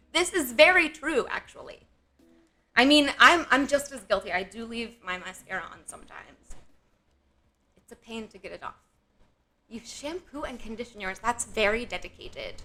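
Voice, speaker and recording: The voice has a bright, sharp tone and very wide pitch swings, with big swings in loudness. It moves at a moderate pace, broken by long, frequent pauses. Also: woman, high pitch for a woman. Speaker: streamer. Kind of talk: casual chat. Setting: live stream.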